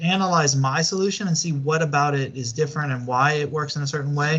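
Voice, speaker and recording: In an audible room echo, a man with a Southern US accent talks at a fairly quick pace in a fairly high pitch, somewhat breathy, with ordinary pitch variation. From US Deep South. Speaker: university lecturer. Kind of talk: online lecture. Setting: online class video call. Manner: halting, many fillers.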